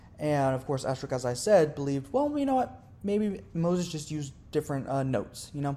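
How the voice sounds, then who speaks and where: A Southern US accent colors the speech. Words come out fairly quickly. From US South. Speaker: religious video creator. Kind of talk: educational monologue. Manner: casual, with fillers and self-corrections.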